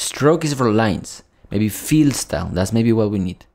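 A man speaks with a fairly low pitch. His pitch varies in an ordinary way against a quiet background. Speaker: coding instructor. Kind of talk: tutorial. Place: home room.

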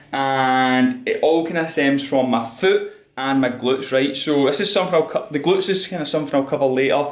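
A man talks at a fairly quick pace with hardly any pauses and ordinary pitch variation. Audible room echo surrounds his voice. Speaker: fitness trainer vlogger. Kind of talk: casual vlog chat. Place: home room. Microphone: phone near.

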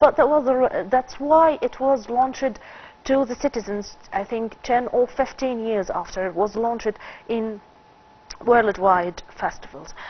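A woman speaks at a fairly slow pace in a high pitch. Her pitch varies in an ordinary way. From Egypt. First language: Arabic. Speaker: film critic; talk show guest. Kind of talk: TV interview. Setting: studio. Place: studio. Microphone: lapel.

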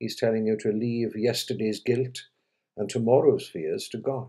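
Over a quiet background, the voice has a dark, mellow tone and moves at a moderate pace. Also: man. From Wales. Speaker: clergyman, honorary chaplain giving a monthly sermon. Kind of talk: sermon / religious reflection. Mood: calm, reassuring. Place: home room. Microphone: webcam.

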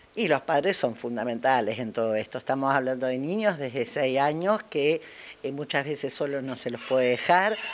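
A woman talks at a moderate pace with lively intonation. Noticeable background noise can be heard. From Argentina, Paraná (Entre Ríos). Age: 60s. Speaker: chess teacher. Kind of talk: interview. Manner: animated; halting.

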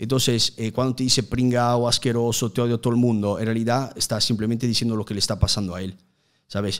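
A man with a strong Italian accent, very fast and monotone with flat intonation, over a quiet background. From Italy, Udine near Venice; Italy. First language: Italian (speaking Spanish). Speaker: youtuber. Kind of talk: casual interview. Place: studio. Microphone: studio mic.

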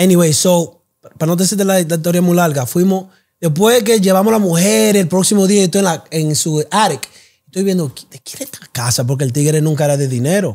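The man's pitch is high and his intonation lively. He talks at a fairly quick pace. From South Bronx, New York. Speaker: clothing brand founder. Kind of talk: interview.

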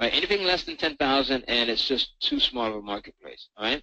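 A man talks at a fairly quick pace in a bright, sharp tone with lively intonation. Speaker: online marketing trainer. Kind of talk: sales webinar presentation. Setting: online webinar. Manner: enthusiastic.

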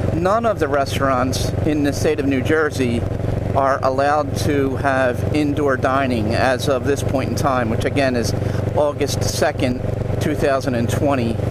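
Loud background noise sits under a fairly slow voice with very even loudness, ordinary pitch variation and a dry sound with no echo. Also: man, medium pitch for a man. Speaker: motorcycle vlogger. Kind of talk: casual monologue while riding. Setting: riding a motorcycle outdoors. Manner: halting, many fillers. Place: motorbike.

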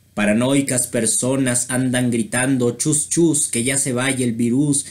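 This man talks very slowly. His intonation is fairly even throughout. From Mexico. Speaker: video creator and amateur poet. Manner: measured, rhythmic pacing with pauses between verses. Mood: satirical, playful. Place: home room. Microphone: webcam.

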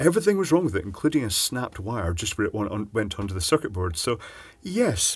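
This man talks at a very fast pace. His voice is somewhat breathy. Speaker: presenter. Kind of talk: tutorial. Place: workshop.

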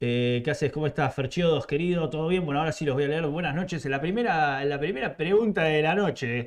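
Against a quiet background, a man with an Argentine accent talks at a fairly quick pace and a fairly high pitch, with ordinary pitch variation and hardly any pauses. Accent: Rioplatense Argentine Spanish. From Argentina. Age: 30s. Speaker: motorcycle YouTuber. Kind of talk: live stream chat. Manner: animated. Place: home room.

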